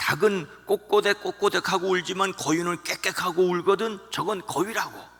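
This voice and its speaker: A put-on character voice from a man, high in pitch, monotone and flat, at a moderate pace with hardly any pauses. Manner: slightly irritated.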